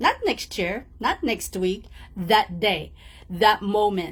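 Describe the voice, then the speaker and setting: A woman of medium pitch speaks with vocal fry. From outside English-speaking world (immigrant). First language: not English. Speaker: motivational coach. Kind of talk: motivational talk. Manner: warm, direct address.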